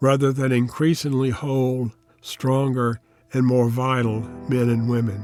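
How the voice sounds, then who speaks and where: Music plays in the background. A man with a medium pitch speaks at a fairly slow pace. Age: 80s+. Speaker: Jungian analyst and author. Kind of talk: personal essay read to camera.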